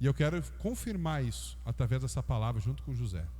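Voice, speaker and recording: Vocal fry in a man's very deep, low register, delivered at a moderate pace. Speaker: pastor. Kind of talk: sermon. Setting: church.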